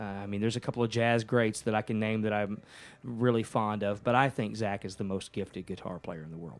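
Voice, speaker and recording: A man with a Texan accent, fairly low pitched, talking at a fairly quick pace with fairly even intonation. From Texas, Ennis near Dallas. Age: 50s. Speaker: musician. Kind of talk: casual chat.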